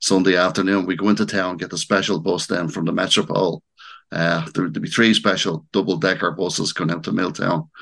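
A man with a Dublin accent, very deep and low in pitch, at a fairly quick pace with fairly even intonation. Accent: Dublin Irish. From Dublin, Ireland. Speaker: local historian and author. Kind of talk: interview.

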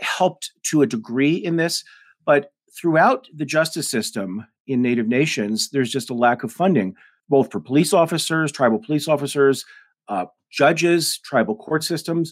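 Lively intonation marks this moderate-paced voice with an American accent. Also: man. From Denver, Colorado. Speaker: author and professor. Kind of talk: interview. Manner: articulate.

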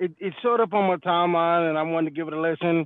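With an American accent, a man speaks at a high pitch with ordinary pitch variation. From Detroit, Michigan. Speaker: truck driver, caller. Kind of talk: recorded voice message rant.

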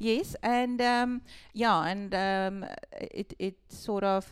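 A woman speaks with a South African accent. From Western Cape, South Africa. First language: Afrikaans. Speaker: shop owner. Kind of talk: casual interview chat.

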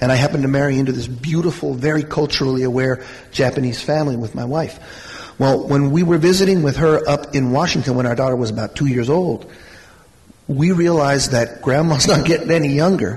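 A man talks at a fairly quick pace in a fairly high pitch, with ordinary pitch variation over noticeable background noise. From Mexico. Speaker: college administrator. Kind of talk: panel discussion. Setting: stage with audience.

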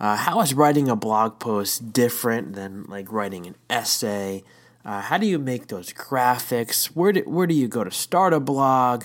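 With a normal speaking voice at medium pitch, a man talks at a fairly slow pace with lively intonation and big swings in loudness, recorded very cleanly against a silent background. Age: 30s. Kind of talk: devotional talk. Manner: casual with frequent fillers.

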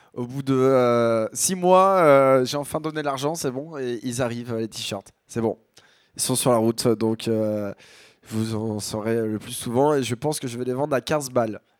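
A man with a slight Picard accent speaks at a fairly slow pace, his pitch medium with ordinary variation. The recording is very clean, with a silent background. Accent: Picard-tinged northern French. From Picardie, northern France. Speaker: radio show host, music selector. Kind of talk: casual chat. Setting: studio.

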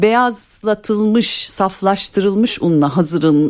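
Her pitch leaping very widely, this woman talks fairly slowly. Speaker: dietitian. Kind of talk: call-in health advice. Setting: radio studio.

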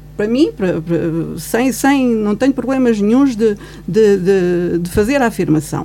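A woman speaks at a fairly slow pace with a medium pitch and lively intonation. Noticeable background noise runs under her voice. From Guarda, Portugal (born in Angola). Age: 50s. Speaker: commentator. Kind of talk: radio panel discussion. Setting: radio studio.

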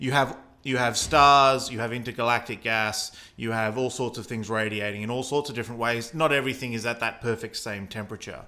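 A man with an Australian accent speaks at a fairly quick pace and a medium pitch. His tone is bright and sharp, and his intonation is fairly even. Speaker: astronomy podcast host. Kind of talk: explanatory conversation about cosmology.

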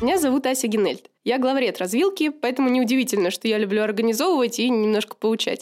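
With lively intonation, a woman speaks at a very fast pace in a high pitch. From St Petersburg, Russia. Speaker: editor-in-chief of a media outlet. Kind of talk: scripted self-introduction.

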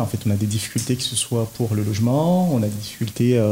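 Noticeable background noise sits behind a man talking at a fairly slow pace in a medium pitch. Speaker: community association president. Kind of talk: radio interview.

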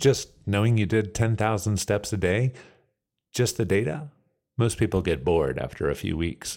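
On a very clean recording with a silent background, a man with an unremarkable speaking voice talks at a moderate pace with a fairly low pitch and lively intonation. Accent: American. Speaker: podcast host. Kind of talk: scripted narration.

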